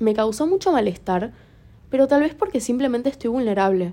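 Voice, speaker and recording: This woman's voice has a dark, mellow tone. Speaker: podcaster. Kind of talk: personal monologue. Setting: lying in bed in dark room. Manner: halting.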